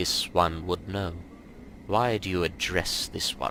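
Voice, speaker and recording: Using a put-on character voice, a man speaks at a fairly slow pace in a very deep, low, resonant register, with clear background noise. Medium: game stream. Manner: formal, refers to himself as this one.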